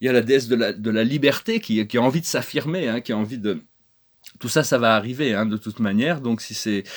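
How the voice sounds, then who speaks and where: Speech runs at a fairly quick pace. It keeps ordinary pitch variation. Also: man. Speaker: spiritual channel host. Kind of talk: spiritual talk to camera. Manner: halting, many hesitations and repetitions.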